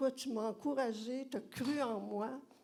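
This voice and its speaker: In a Quebec accent, a woman speaks very slowly at a fairly high pitch, her tone dark and mellow and her intonation fairly even. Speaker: former student. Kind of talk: audience tribute.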